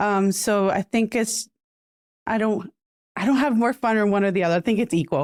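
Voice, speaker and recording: A woman talks at a fairly quick pace with long, frequent pauses, medium pitch, ordinary pitch variation and very even loudness, in a dry, close sound with no echo. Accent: Puerto Rican. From Puerto Rico. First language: Spanish. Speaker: podcaster. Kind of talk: interview. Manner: fast.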